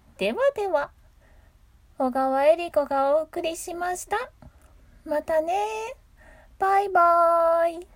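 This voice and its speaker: A woman with an extremely high pitch talks at a very slow pace with long, frequent pauses, lively intonation, a calm, relaxed tone and big swings in loudness. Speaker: voice actor and solo radio host. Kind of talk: casual solo talk.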